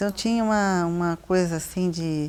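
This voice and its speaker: Here is a woman with an unremarkable speaking voice, pitched fairly low. She speaks at a fairly slow pace with ordinary pitch variation. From Brazil, São Paulo city. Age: 50s. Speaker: visual artist. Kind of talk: interview.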